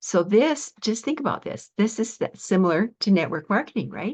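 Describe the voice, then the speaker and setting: A somewhat breathy woman speaks against a quiet background. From Canada. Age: 70s. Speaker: online marketer. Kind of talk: sales pitch. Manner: casual, chatty.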